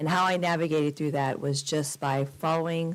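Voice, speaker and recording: Her pitch is very deep and low for a woman. She speaks at a fairly quick pace. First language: Spanish. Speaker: college president. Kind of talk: formal presentation. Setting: city council chambers.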